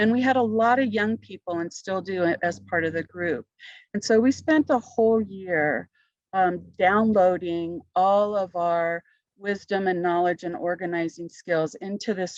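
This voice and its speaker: In a normal speaking voice at medium pitch, a woman talks at a fairly slow pace with ordinary pitch variation, the sound dry and close with no echo against a quiet background. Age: 60s. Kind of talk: panel discussion, personal testimony.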